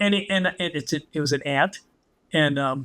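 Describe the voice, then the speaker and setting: In a West Coast US accent, a bright, sharp voice speaks with ordinary pitch variation on a very clean recording with a silent background. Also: man. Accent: General American (West Coast). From Southern California. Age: 70s. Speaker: former toy company car designer. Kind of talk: podcast interview. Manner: animated storytelling.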